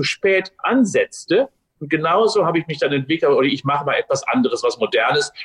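Very fast and energetic, a man delivers his lines. The sound is dry and close, with no echo. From Westphalia, Germany (Unna). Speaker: sports science professor. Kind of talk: interview. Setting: video call.

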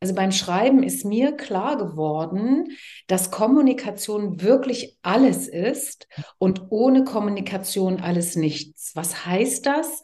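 Her tone is dark and mellow, a little breathy, with lively intonation. The woman speaks at a very slow pace. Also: medium pitch for a woman. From East Germany, Leipzig. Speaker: TV presenter and communication coach. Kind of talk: casual interview. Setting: garden.

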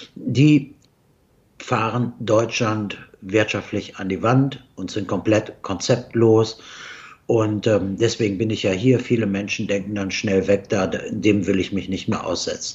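A man speaks at a very slow pace with a somewhat breathy voice. His pitch is fairly low and his intonation fairly even. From Germany. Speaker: investment strategist, company CEO. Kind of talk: interview. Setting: remote video call from Dubai. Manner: halting, many fillers.

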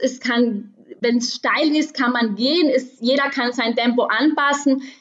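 The speaker is a woman with a high voice. She talks fairly slowly. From South Tyrol, Meran area. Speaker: trail runner. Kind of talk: casual interview.

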